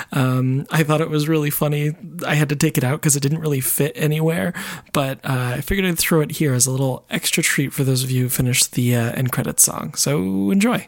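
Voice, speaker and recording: A man speaks quietly and very fast at a fairly high pitch. His loudness stays very even, and his pitch varies an ordinary amount. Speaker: podcast co-host and editor. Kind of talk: casual chat. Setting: solo recording while editing. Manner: quiet voice.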